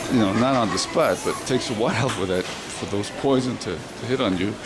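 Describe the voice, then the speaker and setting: A man of medium pitch speaks with an American accent and ordinary pitch variation. Audible room echo and noticeable background noise fill the recording. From New York. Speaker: video blogger narrating a market walk. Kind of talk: casual video narration. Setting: outdoors. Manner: fast; halting.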